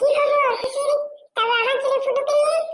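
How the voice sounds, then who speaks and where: An extremely high, squeaky cartoonish character voice speaks at a moderate pace with monotone, flat intonation. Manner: brash, coarse.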